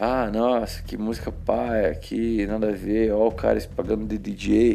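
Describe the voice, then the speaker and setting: A man speaking at a fairly slow pace, with music in the background. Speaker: podcaster. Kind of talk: casual chat. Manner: informal, filler-heavy.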